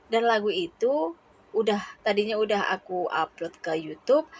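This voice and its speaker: Recorded dry and close with no echo, a woman with a normal speaking voice talks at a moderate pace in a fairly high pitch. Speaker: vlogger, domestic worker abroad. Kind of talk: vlog voiceover narration.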